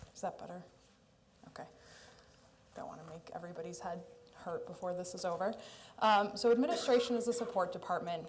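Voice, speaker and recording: A loud woman speaks at a medium pitch and a very fast pace, with ordinary pitch variation, long, frequent pauses, and audible room echo. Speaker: city administration official. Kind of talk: budget presentation at council meeting.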